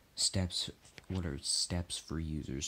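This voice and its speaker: At a fairly slow pace, a man talks in a very deep, low pitch. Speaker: gameplay commentator. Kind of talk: casual vlog chat, partly reading.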